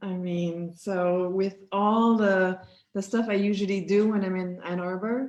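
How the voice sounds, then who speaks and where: The speaker has a Quebec French accent and fairly even intonation. The pace is fairly slow. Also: woman. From Quebec City. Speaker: sociology professor. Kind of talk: casual interview.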